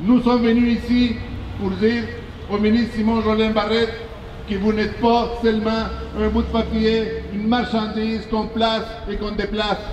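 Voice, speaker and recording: With a non-native accent, a man speaks at a high pitch in a monotone, flat delivery at a moderate pace with long, frequent pauses, amid noticeable background noise and audible room echo. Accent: foreign. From born outside Quebec. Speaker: politician. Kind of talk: protest speech. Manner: impassioned, rhetorical.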